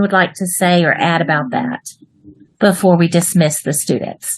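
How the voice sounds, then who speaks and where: A woman speaks with a Texas accent at a moderate pace. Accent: Texas twang. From Texas, US. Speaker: online English writing teacher. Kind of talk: online class for children. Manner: animated.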